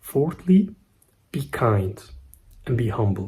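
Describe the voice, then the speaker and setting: A man speaks with a non-native accent. His tone is dark and mellow, and somewhat breathy. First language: not English. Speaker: self-improvement YouTuber. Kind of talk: casual vlog monologue. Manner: slightly halting.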